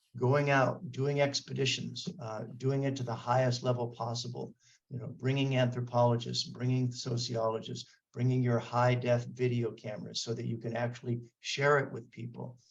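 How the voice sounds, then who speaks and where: The voice is somewhat breathy, with a monotone, flat intonation. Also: man, medium pitch for a man, moderate pace. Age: 60s. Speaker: martial arts scholar. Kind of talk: interview. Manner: halting, many fillers and restarts.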